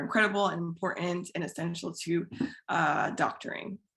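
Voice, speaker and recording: A woman with an American accent has an ordinary speaking voice and a fairly low pitch. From US Midwest, Iowa. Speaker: physician and fiction writer. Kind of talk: panel discussion.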